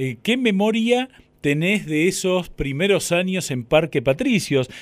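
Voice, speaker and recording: A man with a high pitch speaks with lively intonation. His pace is very slow. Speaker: radio host. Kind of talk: radio interview.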